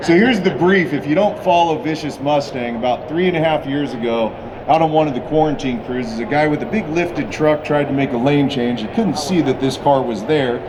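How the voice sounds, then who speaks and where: Over noticeable background noise and audible room echo, the speech moves at a fairly quick pace with ordinary pitch variation. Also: man, fairly high pitch for a man. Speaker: car builder presenting a custom car. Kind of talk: live presentation at a car show unveil. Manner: loud; animated.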